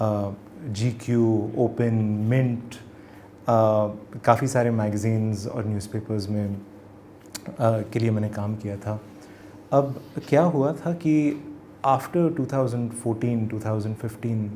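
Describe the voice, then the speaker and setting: His voice sits at a medium pitch and rises and falls in an ordinary way. The man pauses often and at length. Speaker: journalist and author. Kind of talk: interview. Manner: code-switching Hindi and English.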